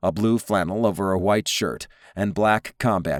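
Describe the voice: The intonation stays fairly even as the text is read aloud plainly.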